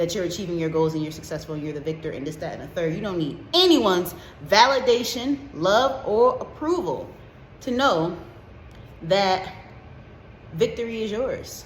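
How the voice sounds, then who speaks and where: Medium-pitched female speech at a moderate pace, lively in intonation, with big swings in loudness and noticeable background noise. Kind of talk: casual talk to camera, motivational pep talk with profanity. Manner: energetic, passionate, comedic.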